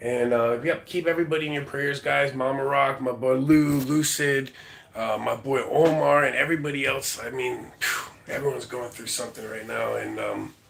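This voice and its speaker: At a moderate pace with hardly any pauses, a man talks at medium pitch with fairly even intonation over noticeable background noise. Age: 40s. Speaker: livestreamer. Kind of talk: casual chat.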